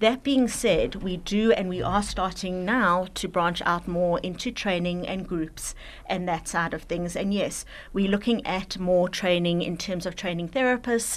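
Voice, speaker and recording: At a fairly slow pace, an unremarkable speaking voice moves through ordinary pitch variation. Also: woman, medium pitch for a woman. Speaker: social worker and therapist. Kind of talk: radio interview, casual chat. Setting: radio studio.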